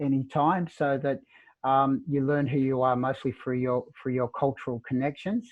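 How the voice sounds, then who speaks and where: This man talks at a moderate pace with fairly even intonation. His pitch is medium. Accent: Australian. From Melbourne, Australia. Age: 60s. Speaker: author. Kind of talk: interview. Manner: halting.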